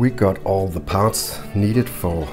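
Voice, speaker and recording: Music plays in the background as a man speaks at a fairly slow pace. His very deep, low voice has lively intonation. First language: not English. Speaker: RC model hobbyist. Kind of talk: casual build tutorial talk.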